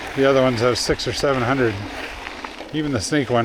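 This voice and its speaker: A man with a medium-pitched voice talks at a fairly quick pace, with audible room echo and noticeable background noise. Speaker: mountain biker vlogger. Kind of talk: casual vlog narration while riding. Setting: outdoors on a mountain bike trail.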